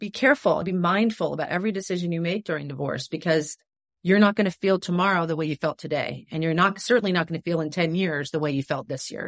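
With an unremarkable speaking voice, a woman talks at a fairly quick pace in a fairly low pitch with ordinary pitch variation, the sound dry and close with no echo. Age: 50s. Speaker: divorce coach and former actress. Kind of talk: casual interview.

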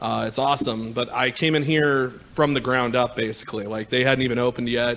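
A man with an American accent talks at a fairly quick pace in an ordinary speaking voice, his medium pitch held in fairly even intonation. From Kansas City, Missouri. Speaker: director of operations. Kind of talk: casual chat. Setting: studio.

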